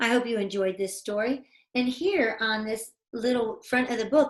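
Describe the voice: Plain reading aloud set against a quiet background.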